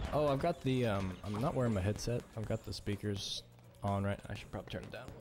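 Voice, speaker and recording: Clear music plays in the background as the speaker mumbles at a very fast pace with ordinary pitch variation. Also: man, fairly low pitch for a man. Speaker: video game streamer. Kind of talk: gameplay commentary. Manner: mumbling, trails off.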